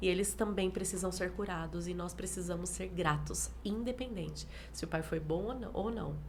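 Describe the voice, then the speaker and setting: A woman speaks with hardly any pauses, and audible room echo surrounds her voice. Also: moderate pace. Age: 40s. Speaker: pastor. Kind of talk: interview. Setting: live stream.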